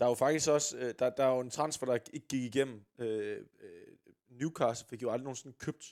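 In a plain, everyday voice, a man talks at a medium pitch and a moderate speed. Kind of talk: casual podcast banter, then play-by-play match commentary in the game segment. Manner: excitable, shouting, rising to a roar at the goal.

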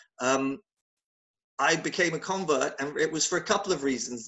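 A man talks with a southern England accent. His pace is fairly quick. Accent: British English, southern England. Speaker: conference company founder. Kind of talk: casual interview.

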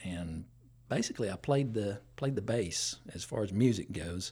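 A man with an Appalachian accent speaks in a somewhat breathy voice with a fairly low pitch. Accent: Southern US (Appalachian). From East Tennessee (Johnson City). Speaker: church deacon and musician. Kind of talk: testimony.

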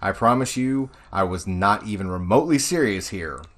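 The man's pitch swings very widely as he talks at a moderate pace. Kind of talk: casual chat.

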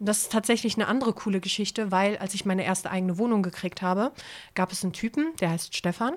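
Very fast speech from a woman, medium in pitch, with ordinary rises and falls. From Hamburg. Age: 30s. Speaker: former homeless person. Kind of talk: personal testimony in interview.

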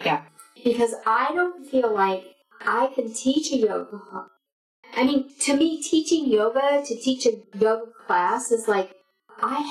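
Music plays behind a high-pitched woman who speaks fairly slowly with lively intonation. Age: 60s. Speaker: yoga teacher. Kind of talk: casual chat.

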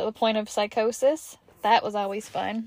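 In a very clean recording with a silent background and a dry, close sound with no echo, a woman speaks with an American accent. Her pitch is fairly high and her pace is moderate. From US South, Kentucky and Georgia. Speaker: podcast host. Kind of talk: casual monologue.

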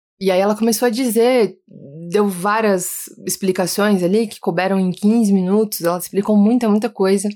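A woman speaks with a dark, mellow tone at a medium pitch. Her intonation is fairly even and her pace moderate. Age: 30s. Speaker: podcast host. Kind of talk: personal storytelling monologue. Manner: warm, intimate.

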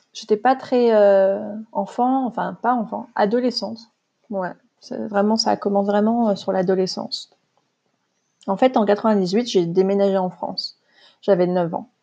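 Her dark, mellow voice sits at a medium pitch with fairly even intonation. The woman speaks at a fairly slow pace, with long, frequent pauses. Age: 30s. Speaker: podcast host, spiritual coach. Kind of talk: personal monologue, testimony. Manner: spontaneous, hesitant with fillers.

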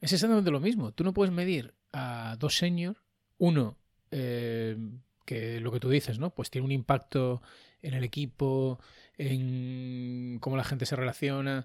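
In a very clean recording with a silent background, a man talks at a fairly slow pace with an unremarkable speaking voice. His pitch is medium, with ordinary variation. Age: 40s. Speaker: podcast host, software developer. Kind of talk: casual chat.

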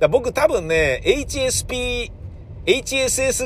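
Background noise is clearly present as a man talks. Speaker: podcaster. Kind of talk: casual solo monologue.

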